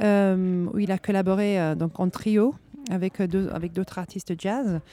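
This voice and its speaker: A woman with a non-native accent speaks at a very slow pace. Her voice has a medium pitch and a dark, mellow tone. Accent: foreign accent in French. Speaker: radio host. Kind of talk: live radio interview. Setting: live at a jazz club.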